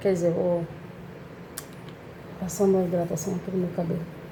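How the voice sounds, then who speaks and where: A woman at medium pitch with monotone, flat intonation and a fairly quick pace, amid audible room echo and noticeable background noise. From Brazil, Salvador (Bahia). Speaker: vlogger. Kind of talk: casual vlog monologue. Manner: conversational, with many fillers.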